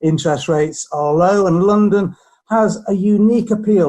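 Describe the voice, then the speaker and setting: A man speaks in a dark, mellow tone. His pitch varies in an ordinary way. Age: 60s. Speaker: property surveyor. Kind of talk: interview.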